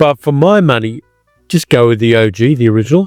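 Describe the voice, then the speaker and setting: An Australian man speaks at a fairly quick pace in an Australian accent. Music plays behind his dry, close sound, which has no echo. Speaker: film reviewer. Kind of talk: casual talk to camera.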